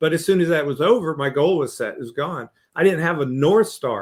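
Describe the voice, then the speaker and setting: A man talks at a fairly quick pace. He has an ordinary speaking voice. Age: 60s. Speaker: leadership coach and author. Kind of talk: podcast interview.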